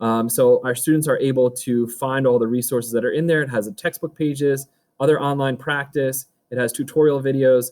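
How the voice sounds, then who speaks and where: A man with a medium pitch talks at a fairly quick pace, keeping his intonation fairly even. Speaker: high school math teacher. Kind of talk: recorded virtual back to school night presentation. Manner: fast.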